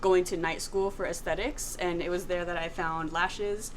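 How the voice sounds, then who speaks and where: This is a woman with an ordinary speaking voice. Her pitch sits at a medium level with ordinary variation. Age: 20s. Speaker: lash artist and salon owner. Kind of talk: podcast talk.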